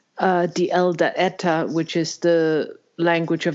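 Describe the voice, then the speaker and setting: A fairly low-pitched female voice in a Danish accent, very slow, with fairly even intonation. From Denmark. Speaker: podcast host. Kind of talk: interview conversation. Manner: halting.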